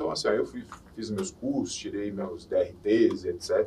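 A man speaking at a fairly slow pace. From Minas Gerais, Brazil (Belo Horizonte). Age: 40s. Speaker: former reality show contestant, model and DJ. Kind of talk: casual chat.

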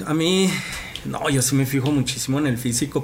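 Noticeable background noise accompanies a man speaking fairly quickly. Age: young. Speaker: youth podcast host. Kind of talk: casual chat.

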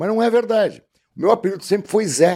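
A man speaks with a southern Brazilian accent. His tone is dark and mellow. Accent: gaúcho Brazilian Portuguese. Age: 60s. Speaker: actor and announcer. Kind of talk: casual interview chat.

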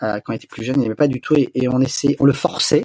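A man's voice, fairly high and somewhat breathy. The recording is dry and close, without echo. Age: 40s. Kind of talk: interview. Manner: hesitant, many fillers.

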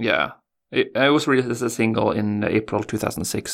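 Vocal fry runs through this man's fairly low-pitched voice. The recording is very clean, with a silent background. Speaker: podcast co-host.

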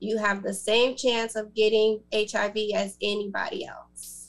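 Using a plain, everyday voice, a woman speaks fairly slowly at a fairly high pitch. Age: 30s. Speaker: author and HIV advocate. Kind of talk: panel interview.

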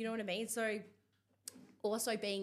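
A woman with an Australian accent speaks in an animated tone. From Perth, Australia. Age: 30s. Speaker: body acceptance influencer. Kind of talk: interview. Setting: studio.

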